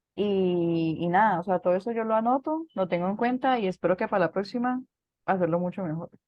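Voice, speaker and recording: A woman speaks at a medium pitch, varying it in an ordinary way. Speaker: student preacher. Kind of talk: casual reflection. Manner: fast.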